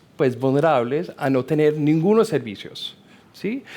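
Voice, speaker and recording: A man's fairly high voice, fairly slow in pace, with very wide swings in pitch. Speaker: security researcher on expert panel. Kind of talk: panel discussion. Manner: halting, many fillers.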